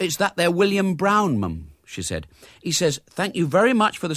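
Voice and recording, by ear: Lively intonation, reading aloud in a natural voice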